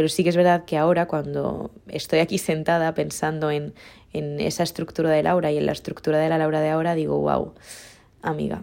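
In a very clean recording with a silent background, a woman with a very deep, low voice and a dark, mellow tone speaks at a fairly quick pace with monotone, flat intonation. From Mallorca, Spain. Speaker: podcaster. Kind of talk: casual monologue.

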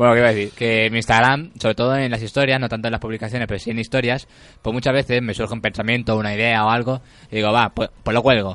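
Against a quiet background, a man speaks very fast at a medium pitch. His intonation stays monotone and flat. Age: 20s. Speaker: radio host. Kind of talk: casual chat. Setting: studio.

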